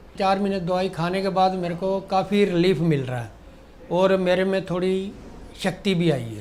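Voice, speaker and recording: Here a man speaks at a high pitch with ordinary pitch variation. Room echo is audible. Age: 60s. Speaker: diabetes patient giving testimonial. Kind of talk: testimony.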